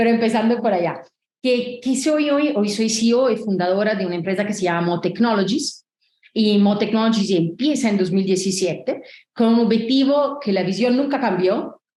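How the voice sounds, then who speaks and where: A woman speaks with an Italian accent in a dark, mellow tone, her pitch fairly high and somewhat breathy. Her loudness stays very even, with ordinary pitch variation and a moderate pace. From Italy. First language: Italian (speaking Spanish). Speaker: tech company founder and CEO. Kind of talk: interview.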